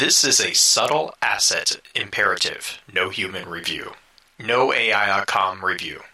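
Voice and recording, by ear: Robotic and slowish, this put-on character voice moves at a fairly slow pace. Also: man, fairly low pitch for a man.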